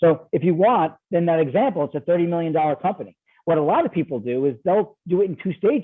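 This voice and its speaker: Here a man with an American accent speaks in a high voice. His intonation is lively and his pace fairly quick. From New York. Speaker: ESOP investment banker. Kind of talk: podcast interview. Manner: fast; animated.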